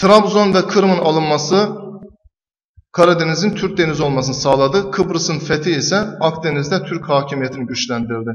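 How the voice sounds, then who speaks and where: With ordinary pitch variation and a moderate pace, a man speaks against a quiet background. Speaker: teacher. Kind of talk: tutorial explaining exam answers. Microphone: webcam.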